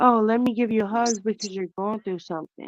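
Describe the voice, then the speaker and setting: In a dry, close recording with no echo and a quiet background, a woman uses an ordinary speaking voice at medium pitch with fairly even intonation. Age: 30s. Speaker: caller on a watch party livestream. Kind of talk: casual chat.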